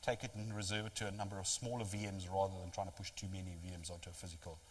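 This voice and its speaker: A man speaks at a very fast pace with a fairly low pitch, over noticeable background noise. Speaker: technology vendor presenter. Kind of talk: lecture.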